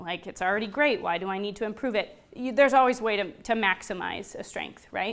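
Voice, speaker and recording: Talking at a very fast pace, a woman with a fairly high pitch shows ordinary pitch variation. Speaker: workshop presenter. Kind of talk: interactive workshop presentation.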